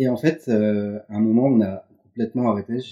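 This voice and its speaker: Intonation stays fairly even here. The tone is dark and mellow. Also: man. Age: 30s. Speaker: creative writer, former journalist. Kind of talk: casual interview. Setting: at home. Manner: casual, repetitive stammering.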